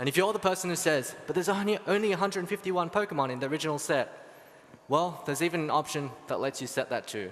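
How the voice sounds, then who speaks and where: The man has an Australian accent. He talks fairly quickly. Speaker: software engineer. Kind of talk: conference talk.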